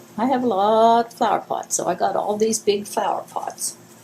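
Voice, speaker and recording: A woman speaks fairly slowly, her pitch varying in an ordinary way, with noticeable noise in the background. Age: 70s. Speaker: craft video host. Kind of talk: tutorial. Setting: home, filming alone. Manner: casual, rambling with fillers.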